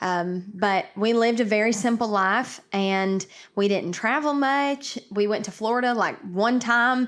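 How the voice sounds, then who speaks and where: A woman talks fairly slowly with an East Tennessee accent. Her pitch is fairly high and her intonation fairly even. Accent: East Tennessee Southern. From East Tennessee (Karns, near Knoxville). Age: 20s. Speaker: country singer. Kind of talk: interview. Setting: video call from home kitchen.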